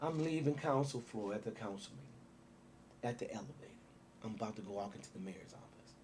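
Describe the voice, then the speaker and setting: With an American accent, a man speaks at a fairly quick pace and a medium pitch, his loudness swinging widely. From Waukegan, Illinois. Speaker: city mayor. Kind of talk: interview. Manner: animated.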